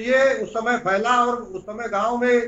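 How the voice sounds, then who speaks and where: The speaker is a man. He keeps a flat, monotone intonation throughout. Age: 60s. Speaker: politician. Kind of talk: interview. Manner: halting.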